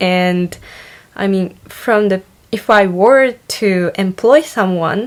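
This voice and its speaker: A woman's medium-pitched voice in a Japanese accent. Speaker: online university student vlogger. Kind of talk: casual vlog monologue. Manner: hesitant, many fillers.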